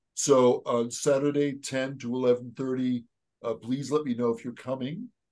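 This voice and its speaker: A man speaks at a moderate pace with a medium pitch over a quiet background. His intonation is monotone and flat. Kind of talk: discussion. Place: home room. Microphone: video call.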